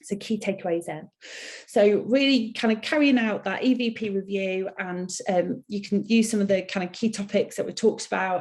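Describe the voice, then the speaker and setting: Somewhat breathy speech with fairly even intonation. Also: woman. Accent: Mancunian. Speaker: HR consultancy CEO. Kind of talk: webinar presentation. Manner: hesitant, many fillers.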